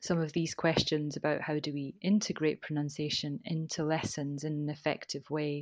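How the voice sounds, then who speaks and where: The background is quiet. A woman with a very deep, low pitch speaks at a moderate pace. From Scotland. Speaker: teacher trainer. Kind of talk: casual interview chat.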